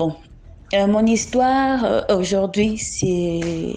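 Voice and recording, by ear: A woman talks at a slow pace. Her tone is dark and mellow.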